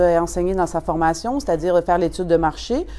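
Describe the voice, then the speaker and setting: The voice has a dark, mellow tone and a fairly quick pace. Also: woman. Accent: Quebec. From Quebec. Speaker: customer giving a testimonial. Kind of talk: testimonial.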